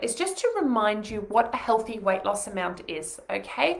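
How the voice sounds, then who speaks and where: A fairly high female voice with very wide pitch swings, amid noticeable background noise and audible room echo. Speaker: nutritionist. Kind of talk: webinar. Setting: home living room, live stream. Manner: fast.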